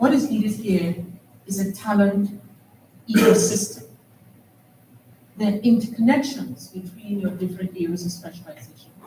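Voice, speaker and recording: A woman's medium-pitched voice with ordinary pitch variation, moderate pace, long and frequent pauses, and audible room echo. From Trinidad. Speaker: panel moderator, academic. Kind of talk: conference panel moderation.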